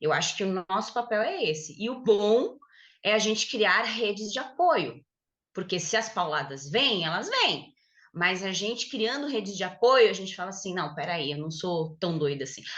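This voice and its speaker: With lively intonation and a medium pitch, this woman has an ordinary speaking voice. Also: moderate pace. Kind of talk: podcast conversation.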